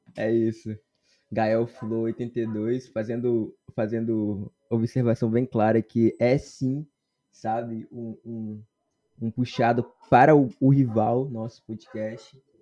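Over music in the background, a man speaks at a very slow pace with monotone, flat intonation. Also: medium pitch for a man, big swings in loudness. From Brazil, Espírito Santo. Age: 20s. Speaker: university student podcast host. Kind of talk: casual chat.

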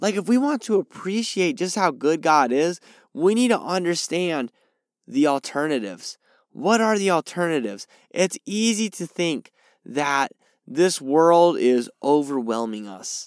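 Squeaky and high-pitched, a man talks at a fairly slow pace with very wide pitch swings, captured in a very clean recording with a silent background and a dry, close sound with no echo. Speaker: podcast host and Bible teacher. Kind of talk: sermon-style Bible teaching. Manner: informal, conversational.

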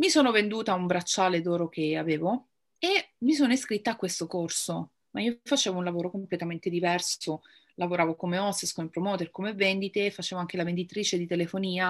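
An unremarkable speaking voice from a woman, fairly low in pitch with ordinary pitch variation, at a fairly quick pace on a very clean recording with a silent background. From central Italy (Rome, teenage years in Pescara). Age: 30s. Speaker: make-up artist and cancer patient. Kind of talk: interview testimony.

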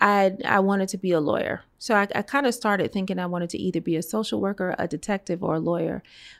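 Using a normal speaking voice with an American accent, a woman speaks at a fairly quick pace with medium pitch and fairly even intonation. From Brooklyn, New York. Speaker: lawyer. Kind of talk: casual chat.

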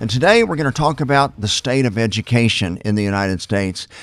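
Speaking with an American accent, a man keeps a medium pitch, ordinary pitch variation and a fairly quick pace. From Oklahoma. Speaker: pastor and podcast co-host. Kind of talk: casual chat.

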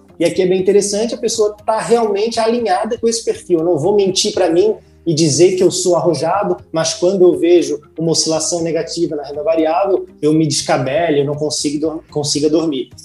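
Music plays in the background as a man talks at a fairly quick pace. His pitch is high, with ordinary variation. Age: 20s. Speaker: finance content creator. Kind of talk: casual interview.

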